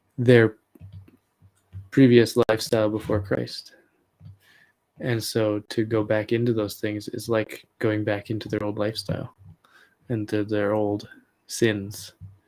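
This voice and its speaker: Putting on a character voice, a man mumbles at a fairly slow pace in a fairly low, monotone, flat delivery, with long, frequent pauses. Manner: mumbling.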